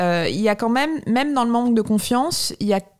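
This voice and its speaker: At a moderate pace and with ordinary pitch variation, a woman speaks against a quiet background. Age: 30s. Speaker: philosophy teacher and author; philosophy teacher. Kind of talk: casual chat. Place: home room. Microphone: studio mic.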